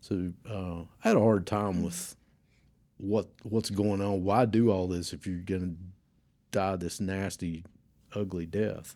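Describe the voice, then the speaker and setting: On a very clean recording with a silent background, a man with a very deep, low pitch and a dark, mellow tone speaks at a fairly slow pace with fairly even intonation and long, frequent pauses. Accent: Southern US. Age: 60s. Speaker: church member. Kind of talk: testimony.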